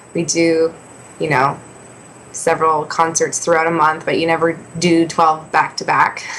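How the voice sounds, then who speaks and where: Using an ordinary speaking voice, a woman talks at a moderate pace with a fairly low pitch. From Canada, Ontario west of Toronto. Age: 20s. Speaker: singer-songwriter. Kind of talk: interview.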